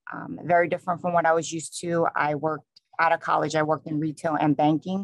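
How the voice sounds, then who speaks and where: A woman talks at a fairly quick pace with a strong New York accent. The sound is dry and close, with no echo. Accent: New York, still strong. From New York City. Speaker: state police trooper. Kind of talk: conference talk.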